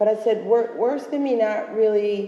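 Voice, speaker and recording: A woman speaks with an American accent. Noticeable background noise and audible room echo come through. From Philadelphia, US. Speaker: urban farmer, panelist. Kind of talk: panel discussion.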